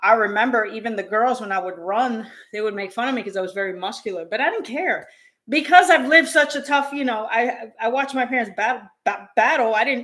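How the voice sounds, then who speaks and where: A woman with an American accent, a normal speaking voice, fairly high pitch, lively intonation and a fairly quick pace. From New York. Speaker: tennis channel co-host. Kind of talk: casual chat.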